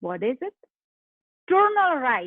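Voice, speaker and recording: A woman is speaking. She has a Polish accent. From Poland. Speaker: life coach. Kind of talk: motivational talk.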